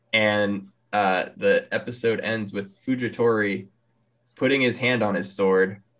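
Over a quiet background, an ordinary speaking voice moves at a fairly slow pace with fairly even intonation. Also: man, fairly low pitch for a man. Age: 20s. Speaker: anime podcast co-host. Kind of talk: casual chat.

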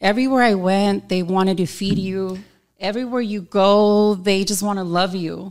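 A woman talks at a medium pitch and moderate pace with fairly even intonation, on a very clean recording with a silent background. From Southern California. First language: Spanish. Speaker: boutique owner. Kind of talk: casual interview chat. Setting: studio.

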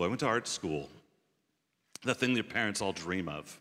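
An American accent from a man with a bright, sharp tone. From southeastern US. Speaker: pastor. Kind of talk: testimony.

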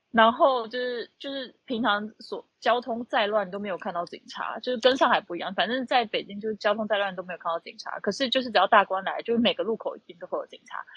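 A woman talks at a very fast pace with hardly any pauses and a fairly high pitch. Her loudness swings widely while her pitch varies in an ordinary way. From Taiwan, Tainan. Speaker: accountant. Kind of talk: casual chat. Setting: online audio room.

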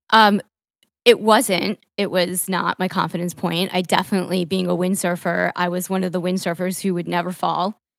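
With an American accent, a woman speaks at a medium pitch in a flat, monotone delivery. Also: moderate pace. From New York, Long Island. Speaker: podcast host and marketing entrepreneur, triathlon coach. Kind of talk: casual interview. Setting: video call from her apartment.

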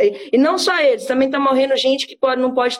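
The woman speaking has a high pitch. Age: 20s. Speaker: cannabis activist. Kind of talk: interview.

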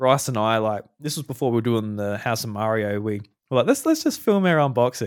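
On a very clean recording with a silent background, a man with an Australian accent talks fairly quickly at a medium pitch, with ordinary pitch variation. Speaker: podcast host. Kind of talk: casual chat.

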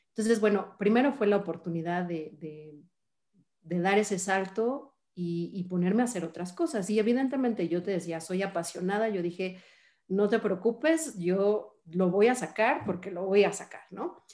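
A woman's dark, mellow voice of medium pitch in a Mexican accent, at a moderate pace with ordinary pitch variation. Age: 40s. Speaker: finance executive. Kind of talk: interview.

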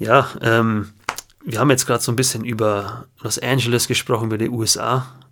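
Speaking fairly quickly, a man holds a medium pitch in a flat, monotone delivery. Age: 20s. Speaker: podcast co-host, guitarist. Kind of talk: casual chat. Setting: at home, remote recording.

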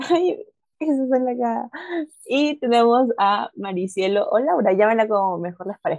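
A woman with an unremarkable speaking voice talks at a moderate pace, her fairly high pitch carried by lively intonation in a dry, close sound with no echo. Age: 20s. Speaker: student podcast co-host. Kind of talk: casual chat.

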